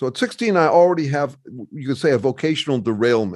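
A normal speaking voice with ordinary pitch variation moves at a fairly quick pace against a quiet background. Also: man. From US Midwest, Chicago. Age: 60s. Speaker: author and researcher. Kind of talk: casual interview conversation.

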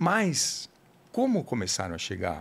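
A man talks at a fairly slow pace, recorded very cleanly against a silent background. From São Paulo, Brazil. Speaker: writer and food blogger. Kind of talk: casual interview. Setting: podcast studio. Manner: halting, many repetitions.

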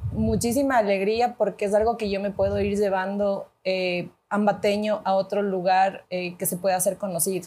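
At a moderate pace, a woman with a medium pitch speaks in an unremarkable speaking voice. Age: 30s. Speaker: executive producer. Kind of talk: casual chat.

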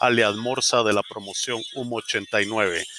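A man speaks with a Guatemalan accent at a medium pitch, his intonation rising and falling in an ordinary way. Noticeable background noise runs underneath. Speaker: podcast host. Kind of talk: scripted podcast outro.

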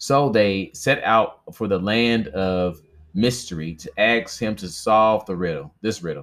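On a very clean recording with a silent background, a man with a normal speaking voice speaks fairly slowly at a fairly low pitch. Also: lively intonation. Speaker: audiobook-style reader and podcaster. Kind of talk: reading aloud a myth, mythic folk-tale narration. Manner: casual, chatty, friendly asides; measured storyteller pacing, stumbling over names.

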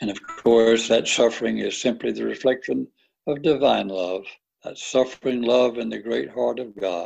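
Ordinary pitch variation in a natural reading voice, quiet background behind it.

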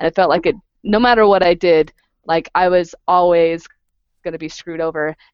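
In a plain, everyday voice, a woman talks at a fairly quick pace and fairly low pitch, with ordinary pitch variation. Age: 30s. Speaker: podcast host. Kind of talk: casual chat. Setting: video call.

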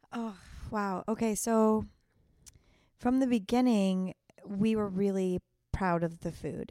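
A woman speaks in an ordinary speaking voice with an American accent. Her pace is moderate, her pitch variation ordinary, and the sound dry and close with no echo. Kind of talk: casual interview chat.

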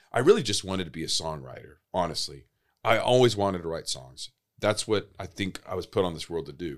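A man with a very deep, low pitch, vocal fry, lively intonation and big swings in loudness. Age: 40s. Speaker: sleep center executive and musician. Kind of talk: casual interview. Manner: halting.

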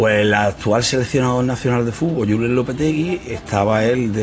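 Noticeable background noise runs under a man speaking at a moderate pace and medium pitch. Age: 50s. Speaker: sports coach. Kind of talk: casual interview.

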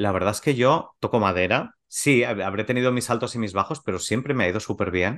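An ordinary speaking voice moves at a fairly quick pace with ordinary pitch variation. There are hardly any pauses. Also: man, fairly low pitch for a man, quiet background. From Spain, Valencia region (Gandía). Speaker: macrobiotics teacher and podcast co-host. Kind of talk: casual interview.

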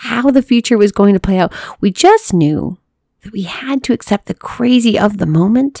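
Lively intonation runs through this natural reading voice. Behind it, the background stays quiet.

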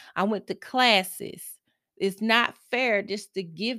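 With a Southern US accent, a woman speaks at a moderate pace in a bright, sharp tone, the sound dry and close with no echo in a very clean recording with a silent background. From US South, Mississippi. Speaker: self-help podcast host. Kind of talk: solo motivational monologue. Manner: halting, self-correcting.

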